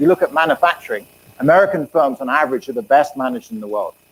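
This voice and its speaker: In an English accent, a man races along at a very fast pace with very wide pitch swings, in a dry, close sound with no echo. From England. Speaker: economics professor. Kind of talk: lecture.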